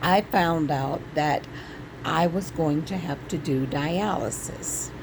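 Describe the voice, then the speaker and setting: Over noticeable background noise, the speech moves at a very slow pace with ordinary pitch variation. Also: woman. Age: 60s. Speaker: vlogger sharing health journey. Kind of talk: personal vlog testimony. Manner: casual, hesitant with fillers.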